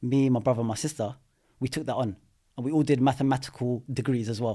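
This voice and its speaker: A man with a London accent, medium in pitch, at a very fast pace. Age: 30s. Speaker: property investor. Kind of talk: podcast interview. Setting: studio. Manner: animated.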